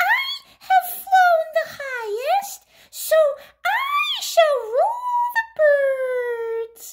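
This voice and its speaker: A squeaky, put-on character voice at an extremely high pitch, very slow in pace with hardly any pauses. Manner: boastful.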